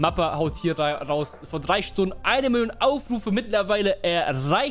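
Soft music can be faintly heard behind. A man talks over it. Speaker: streamer. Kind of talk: casual stream commentary. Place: home room. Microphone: studio mic.

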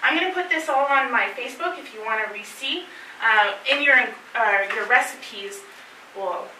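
A woman projects a raised voice at a fairly slow pace. Room echo is audible, along with light background noise. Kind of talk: lecture. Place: meeting room.

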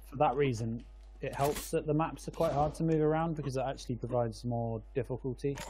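Speaking at a very fast pace, a man uses a dark, mellow, somewhat breathy tone with fairly even intonation. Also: medium pitch for a man. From England. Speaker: game caster. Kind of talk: live commentary.

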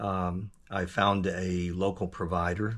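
A man with an American accent, very deep and low in pitch, flat and monotone, against a quiet background. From US South, Georgia. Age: 60s. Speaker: hearing aid user giving a review. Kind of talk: testimonial review. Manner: halting, many fillers. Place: workshop. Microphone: phone near.

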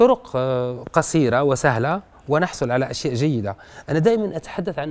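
Lively intonation at a fairly slow pace. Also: man. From Algeria. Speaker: writer and poet; poet. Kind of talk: radio interview. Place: studio. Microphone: lapel.

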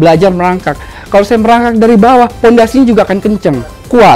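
Speaking at a very fast pace with ordinary pitch variation, this voice has faint music playing in the background. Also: man. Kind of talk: interview answer. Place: cafe.

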